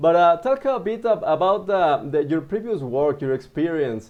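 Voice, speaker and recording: A man speaks with a Spanish accent. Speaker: webinar host. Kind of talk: interview.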